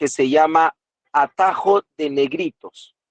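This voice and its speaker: Very slow speech comes through with a dry, close sound and no echo. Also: man. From Peru, Lima. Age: 30s. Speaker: tap and folk dancer, dance teacher. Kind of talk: talk presentation in a group meeting.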